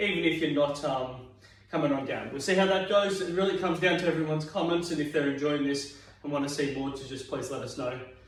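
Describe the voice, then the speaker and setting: Very fast and energetic, a man with an Australian accent speaks at a fairly high pitch, with audible room echo and noticeable background noise. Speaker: fitness instructor. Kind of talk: exercise class instruction. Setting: at home.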